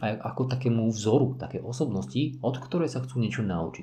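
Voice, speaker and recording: Vocal fry runs through this man's voice. His tone is dark and mellow, and his pace moderate. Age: 40s. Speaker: parkour and fitness coach. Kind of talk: solo podcast monologue.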